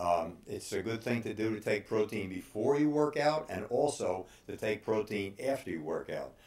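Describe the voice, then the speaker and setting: A man talks at a moderate pace with lively intonation at a medium pitch, with hardly any pauses. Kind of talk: casual monologue. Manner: halting, many fillers.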